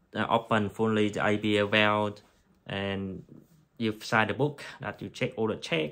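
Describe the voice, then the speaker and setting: A man talks fairly slowly at a fairly low pitch, his intonation fairly even. The recording is very clean, with a silent background. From Vietnam. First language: Vietnamese. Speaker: anaesthetic technician. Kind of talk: tutorial. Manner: halting.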